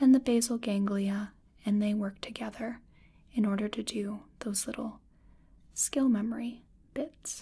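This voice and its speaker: Soft-spoken and somewhat breathy, the voice has a dark, mellow tone, a fairly slow pace and fairly even intonation over a quiet background. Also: woman. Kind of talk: soft-spoken explanatory role-play. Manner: soft, hushed ASMR speaking voice.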